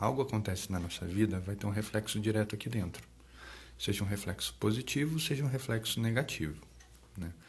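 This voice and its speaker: Soft-spoken, the man talks with noticeable vocal fry. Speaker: psychologist. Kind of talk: live stream talk. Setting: live stream. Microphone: too quiet, moved closer to mic.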